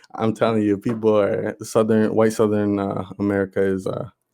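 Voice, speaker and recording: Moderate pace with a dark, mellow tone and monotone, flat intonation. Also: man. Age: 20s. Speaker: podcast co-host. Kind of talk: casual chat.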